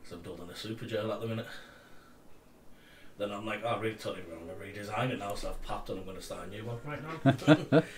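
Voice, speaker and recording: A man with a Cumbrian accent talks at a very fast pace and medium pitch, with ordinary pitch variation. He leaves long, frequent pauses, and room echo is audible. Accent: Cumbrian, often mistaken for Scottish. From Cumbria, northern England. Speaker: streaming co-host. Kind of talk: casual chat.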